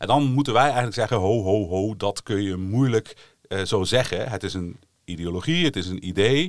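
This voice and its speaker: On a very clean recording with a silent background, a man with a fairly low pitch speaks at a moderate pace with lively intonation in a plain, everyday voice. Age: 40s. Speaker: history lecturer. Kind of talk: casual educational podcast chat.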